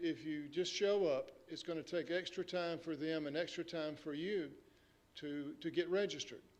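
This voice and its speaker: A man with a high-pitched voice talks at a moderate pace, using ordinary pitch variation. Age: 60s. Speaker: public health official. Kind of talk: press briefing. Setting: press conference. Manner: halting, many fillers.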